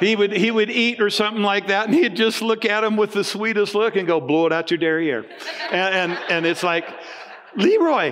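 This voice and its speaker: A man with a high voice speaks in an animated tone at a moderate pace, very even in loudness with ordinary pitch variation, over light background noise. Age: 60s. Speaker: pastor. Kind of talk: sermon. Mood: humorous, animated. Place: church.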